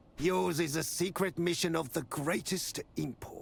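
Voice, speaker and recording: A man puts on a character voice with a high pitch. He keeps a moderate pace and fairly even intonation. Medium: video game. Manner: measured, authoritative.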